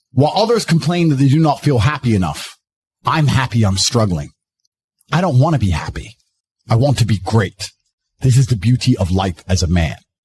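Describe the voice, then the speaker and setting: With vocal fry and very wide pitch swings, a man speaks in an intense tone at a moderate pace. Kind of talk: motivational speech. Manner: intense, forceful.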